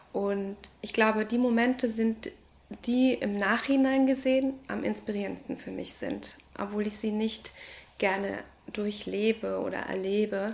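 Noticeable background noise sits behind a woman speaking at a fairly slow pace with a fairly high pitch and fairly even intonation. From Ecuador. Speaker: early childhood educator and artist. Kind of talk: interview monologue. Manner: hesitant, many fillers.

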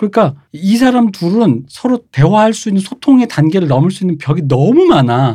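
With high pitch, very wide pitch swings and a dark, mellow tone, a man speaks at a moderate pace with hardly any pauses. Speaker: culture critic. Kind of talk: casual chat. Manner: animated.

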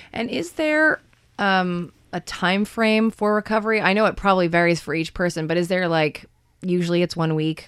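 Using an ordinary speaking voice, a woman talks at a moderate pace. Her pitch sits in the medium range. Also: ordinary pitch variation. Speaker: radio host. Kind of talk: radio talk show hosting. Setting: radio studio.

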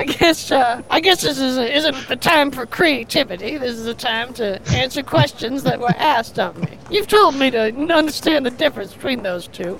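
Over faint background noise, a woman with vocal fry does a put-on character voice, high in pitch and fairly bright in tone, with lively intonation and few pauses. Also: moderate pace.

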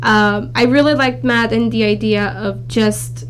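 A woman with a Romanian accent at a moderate pace, music in the background and audible room echo. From Romania (Bucharest), moved to California at 16. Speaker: accounting student. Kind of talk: interview.

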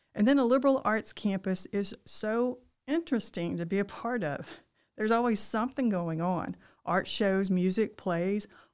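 With a Southern US accent, a woman talks at a moderate pace in a fairly high voice with ordinary pitch variation, in a very clean recording with a silent background. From Arkansas, Ozark foothills. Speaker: university provost. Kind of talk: interview.

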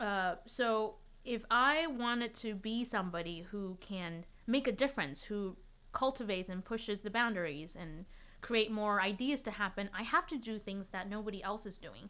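A woman speaks with a Chinese accent at a fairly high pitch, her tone bright and sharp. Her pace is moderate and her pitch varies in an ordinary way. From Taiwan. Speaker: violinist. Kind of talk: casual chat.

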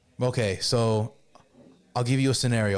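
A man with a Miami accent, medium pitch, a fairly quick pace and ordinary pitch variation. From Miami, Florida. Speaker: rapper. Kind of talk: casual chat.

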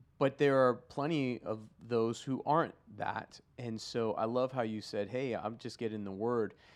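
Over a quiet background, the speaker uses an unremarkable speaking voice with fairly even intonation at a moderate pace. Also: man, medium pitch for a man. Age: 40s. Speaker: podcast co-host, pastor. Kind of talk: casual chat.

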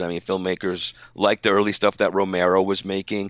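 An ordinary speaking voice, a man with an American accent talks at a moderate pace and a fairly low pitch, captured in a very clean recording with a silent background and a dry, close sound with no echo. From New York. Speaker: sound designer. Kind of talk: casual chat.

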